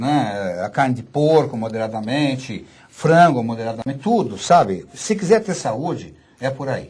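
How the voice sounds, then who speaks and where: A man's somewhat breathy, medium-pitched voice with very wide pitch swings at a fairly slow pace. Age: 60s. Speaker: physician and author. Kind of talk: radio interview. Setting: studio.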